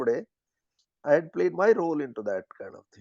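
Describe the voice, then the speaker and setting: A man with an Indian accent at a very fast pace. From Haryana, India. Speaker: former business executive, rural development activist. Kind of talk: interview answer.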